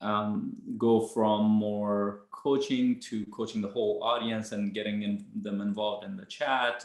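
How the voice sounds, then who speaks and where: A fairly low male voice with a non-native accent and monotone, flat intonation. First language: not English. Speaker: coach, podcast co-host. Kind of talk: casual chat.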